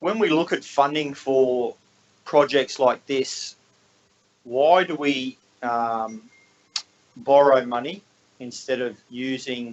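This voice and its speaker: A man speaks very slowly, with long, frequent pauses. His pitch is medium and varies in an ordinary way. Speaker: councillor. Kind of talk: council meeting questions. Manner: halting, mumbling.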